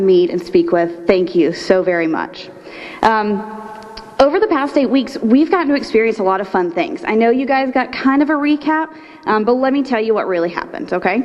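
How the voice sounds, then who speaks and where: A woman with an American accent speaks at a fairly quick pace with lively intonation. Noticeable background noise runs under her voice. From Florida, Polk County. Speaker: nonprofit executive director, leadership program graduate. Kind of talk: graduation speech. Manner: fast.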